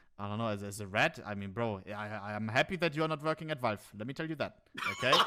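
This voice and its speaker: A man's bright, sharp voice with a German accent, medium pitch, lively intonation and a very fast pace. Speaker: Twitch streamer. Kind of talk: casual chat. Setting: live stream. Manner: animated; halting, many fillers.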